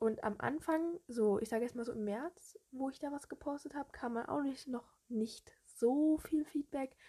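A woman's high voice carries a dark, mellow tone. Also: ordinary pitch variation. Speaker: social media fan page creator, podcaster. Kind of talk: casual solo monologue. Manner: chatty, hesitant with fillers.

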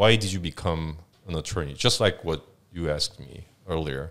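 On a very clean recording with a silent background, a man with a Korean accent talks at a fairly slow pace in a very deep, low pitch. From South Korea, Seoul. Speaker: business lawyer. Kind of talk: casual interview. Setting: studio.

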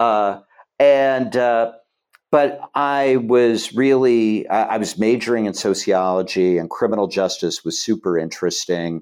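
A man's unremarkable speaking voice at a medium pitch, with an American accent, a fairly slow pace and lively intonation. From Ohio. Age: 60s. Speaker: political organizer. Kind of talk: casual chat.

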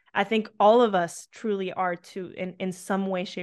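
The recording is very clean, with a silent background. A woman with an American accent speaks at medium pitch. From Colombia, then US and Canada from age eight. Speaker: yoga instructor and life coach. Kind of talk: casual interview chat. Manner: animated.

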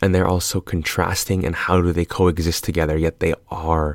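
Recorded very cleanly against a silent background, a man with a very deep, low pitch and a slight Californian accent talks at a moderate pace, the sound dry and close with no echo. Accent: general American with slight Californian lean. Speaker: podcast host, film commentator. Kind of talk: casual solo monologue. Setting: late night solo recording. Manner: animated.

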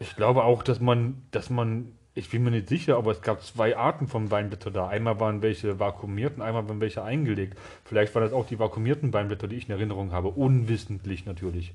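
A man talks at a very fast pace with ordinary pitch variation. His voice is somewhat breathy. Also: fairly low pitch for a man. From eastern Germany. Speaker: podcast co-host. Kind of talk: casual chat.

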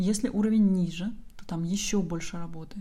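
A woman speaks at a moderate pace in a medium-pitched, somewhat breathy voice with a dark, mellow tone and flat, monotone intonation. Audible room echo surrounds her. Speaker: language teacher and online school founder. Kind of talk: solo podcast monologue.

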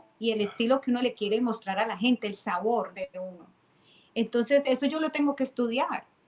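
A fairly quick woman's voice at a fairly high pitch, with ordinary pitch variation, over noticeable background noise. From Colombia, Cali. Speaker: timbal player and percussion teacher. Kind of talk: casual interview.

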